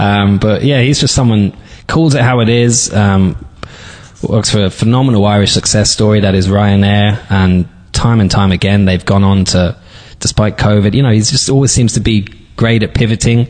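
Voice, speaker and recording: This man speaks with a London accent. His pitch is fairly low. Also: moderate pace, very even loudness. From London, England. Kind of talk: interview.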